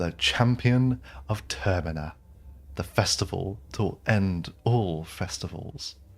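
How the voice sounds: The speaker uses a natural reading voice. It carries through the whole clip.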